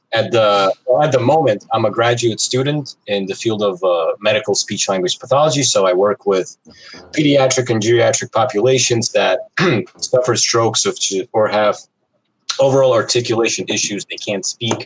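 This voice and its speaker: At a moderate pace, a man with a Russian accent speaks at a medium pitch with ordinary pitch variation, in a dry, close sound with no echo. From Brooklyn, New York (from Moscow at 9-10). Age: 20s. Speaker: speech pathology graduate student and sambo coach. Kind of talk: casual chat.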